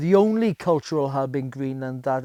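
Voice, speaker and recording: A man with a South Welsh accent, a fairly high pitch and a dark, mellow tone, at a moderate pace in a dry, close sound with no echo. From Wales, the Welsh valleys. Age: 50s. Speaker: bushcraft instructor. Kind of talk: documentary interview. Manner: hesitant, many fillers.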